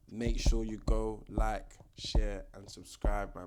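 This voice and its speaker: A man talks with a London accent. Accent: London multicultural English. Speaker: boxing commentator YouTuber. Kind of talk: casual vlog commentary. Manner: casual, filler-heavy.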